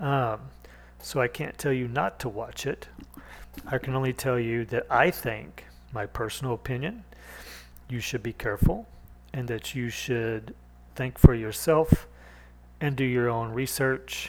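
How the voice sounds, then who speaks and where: Speaking at a fairly slow pace with long, frequent pauses, a man with a medium pitch keeps his intonation fairly even. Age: 40s. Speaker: podcast host. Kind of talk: solo monologue. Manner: halting.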